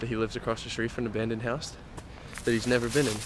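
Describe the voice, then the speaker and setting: A man talks at a very fast pace in a dry sound with no echo. Noticeable background noise runs underneath. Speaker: vlogger. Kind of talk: casual vlog chat. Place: street. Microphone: phone near.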